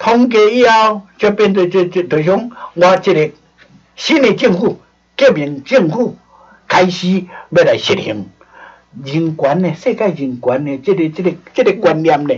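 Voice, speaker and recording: This man talks at a fairly slow pace in a high pitch, with very wide pitch swings. The background is quiet. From Taiwan. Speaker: former diplomat and lecturer on history; lecturer on history. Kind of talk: lecture. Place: studio.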